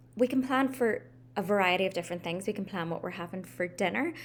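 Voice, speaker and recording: A woman with an American accent speaks at a medium pitch in a very clean recording with a silent background. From Northern Ireland, Belfast. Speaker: life coach. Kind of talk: casual vlog talk to camera. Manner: casual, frequent ums.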